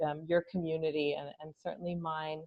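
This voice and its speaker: A woman with an American accent speaks at a fairly low pitch with monotone, flat intonation. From US West Coast (Los Angeles). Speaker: advocacy organization staffer. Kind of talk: interview. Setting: video call.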